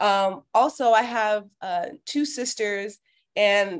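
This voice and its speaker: This woman has a plain, everyday voice with an American accent. Her pitch sits fairly high and varies in an ordinary way. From Miami, Florida, US. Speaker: former athlete and community organizer. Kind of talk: interview conversation.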